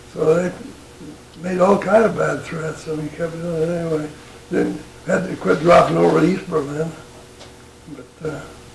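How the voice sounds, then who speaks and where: Fairly even intonation meets big swings in loudness and long, frequent pauses, with noticeable background noise throughout. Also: man, fairly high pitch for a man, moderate pace. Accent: American. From northern Utah, USA. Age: 80s+. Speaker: retired military pilot. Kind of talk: interview answer. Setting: at home.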